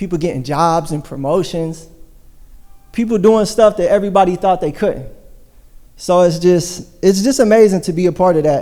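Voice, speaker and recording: The voice has a dark, mellow tone and a fairly quick pace. Audible room echo surrounds it. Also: man. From US Midwest, Hamilton, Ohio. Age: 30s. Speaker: church member sharing testimony. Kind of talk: testimony. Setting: church service.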